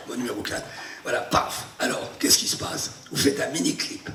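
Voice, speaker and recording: Noticeable background noise and audible room echo accompany a man talking at a fairly quick pace. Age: 70s. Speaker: actor and memory performer. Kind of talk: masterclass demonstration. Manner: animated.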